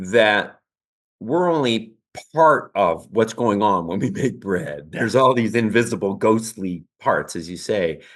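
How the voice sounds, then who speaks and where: With lively intonation and a medium pitch, a man speaks at a fairly slow pace against a quiet background. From Canada. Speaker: baker and cookbook author. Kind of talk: interview. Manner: halting.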